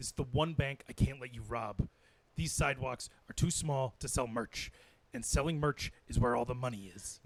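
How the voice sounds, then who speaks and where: Using a put-on character voice, a man speaks raspily at medium pitch and a moderate pace, with ordinary pitch variation and big swings in loudness. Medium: comedy sketch. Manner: pompous, rambling.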